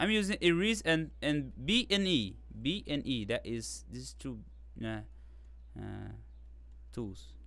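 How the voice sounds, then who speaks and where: A man with a non-native accent at a fairly slow pace, with long, frequent pauses, big swings in loudness, and a dry sound with no echo. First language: not English. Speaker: digital art tutor. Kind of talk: live tutorial; tutorial. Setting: live stream. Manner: halting, with pauses. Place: home room.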